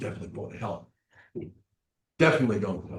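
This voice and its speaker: This man has a dark, mellow tone. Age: 70s. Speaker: addiction counselor. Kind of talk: presentation. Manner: repetitive, halting.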